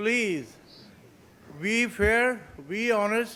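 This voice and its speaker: Here a man speaks with a high voice. His intonation stays fairly even. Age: 70s. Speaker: small business owner, tobacco retailer. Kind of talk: public comment at city council. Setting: city council meeting. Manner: halting, repetitive.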